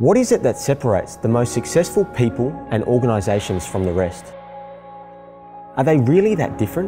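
A man speaks at a moderate pace in a medium pitch, his voice swinging very widely up and down over background music. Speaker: keynote speaker. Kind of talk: personal narration for a speaker promo.

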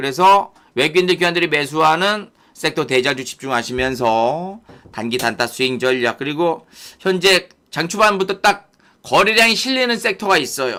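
On a very clean recording with a silent background, a bright, sharp voice moves at a moderate pace through very wide pitch swings. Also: man, fairly high pitch for a man. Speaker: stock market YouTube host. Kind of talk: live stream market commentary. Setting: YouTube live broadcast. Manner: distinctive speaking style.

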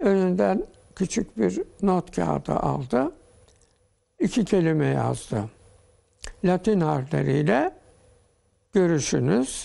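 A man at a very slow pace, with long, frequent pauses, very even loudness and a quiet background. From Turkey, Zonguldak Ereğli area; Turkey. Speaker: interview guest. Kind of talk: TV interview. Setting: TV studio. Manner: formal. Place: studio.

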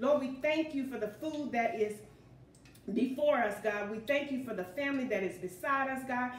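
The speaker keeps a moderate pace with ordinary pitch variation. Room echo can be heard. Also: woman, high pitch for a woman. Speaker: home cooking show host. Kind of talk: prayer then cooking tutorial chat. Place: kitchen.

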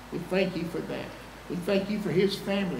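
A man speaks amid noticeable background noise. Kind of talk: prayer. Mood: solemn, reverent. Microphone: podium.

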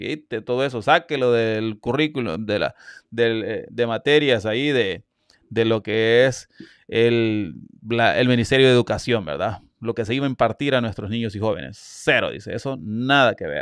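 In a Salvadoran accent, the speaker uses ordinary pitch variation, with a dry sound with no echo and a quiet background. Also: man, medium pitch for a man, moderate pace. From El Salvador. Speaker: YouTube news commentator. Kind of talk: live-stream news commentary. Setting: live stream. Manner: animated. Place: home room. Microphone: studio mic.

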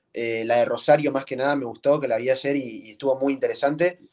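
A man speaks at a fairly high pitch with fairly even intonation. The background is quiet. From Bahía Blanca, Buenos Aires province, Argentina; Buenos Aires province, Argentina. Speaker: freestyle rapper; interviewee. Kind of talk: interview. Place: home room. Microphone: video call.

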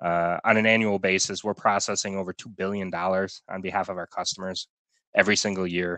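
A bright, sharp tone races along at a very fast pace, the sound dry with no echo over a quiet background. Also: man. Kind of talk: webinar presentation. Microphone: video call.

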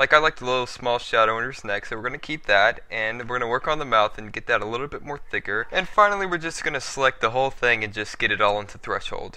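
In a bright, sharp tone, a man rattles off his words at a very fast pace. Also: medium pitch for a man, lively intonation. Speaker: software tutorial maker. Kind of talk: screen-recorded software tutorial. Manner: casual.

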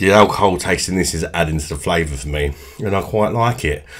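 A man talks at a fairly quick pace over faint background noise.

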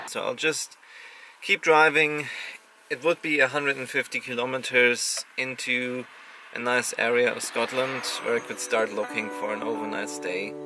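The speech comes at a fairly slow pace, with a dry sound with no echo and noticeable background noise. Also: man. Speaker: travel vlogger. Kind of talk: casual vlog chat. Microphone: phone near.

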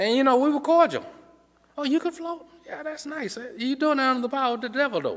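Against a quiet background, a man with an extremely high pitch speaks at a very fast pace with ordinary pitch variation. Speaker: preacher. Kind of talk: sermon. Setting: church. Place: church. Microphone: podium.

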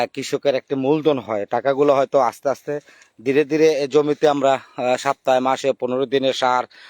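A man speaks in a fairly high pitch with monotone, flat intonation. The sound is dry and close with no echo. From Bangladesh, Cumilla district. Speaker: journalist and farmer. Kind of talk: vlog walkthrough of his field.

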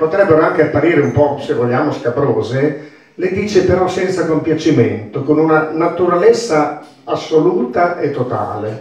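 A man with a Bolognese accent speaks with ordinary pitch variation. There is audible echo in the room. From Bologna. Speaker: dialect reader and teacher. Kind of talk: spoken introduction to a poem. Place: hall.

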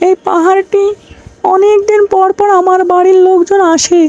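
A cartoonish character voice at an extremely high pitch speaks at a moderate pace in a monotone, flat intonation. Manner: confident.

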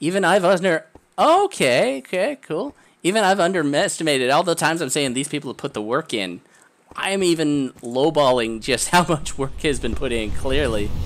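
The tone is animated and the pace moderate. The recording is very clean, with a silent background. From Nova Scotia, Canada. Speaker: video game streamer. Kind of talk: live gameplay commentary. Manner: animated, exclamatory.

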